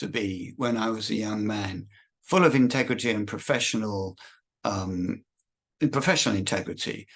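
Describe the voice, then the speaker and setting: Speaking at a fairly slow pace, a man with an English accent keeps to a medium pitch. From Britain (England). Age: 60s. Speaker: religious prophecy video maker. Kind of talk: monologue. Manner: halting, many repetitions.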